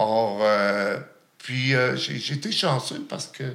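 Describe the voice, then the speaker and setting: A man at a very slow pace, with very wide pitch swings. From Outaouais, Quebec (Gatineau). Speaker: chef living with HIV. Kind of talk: testimony. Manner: halting.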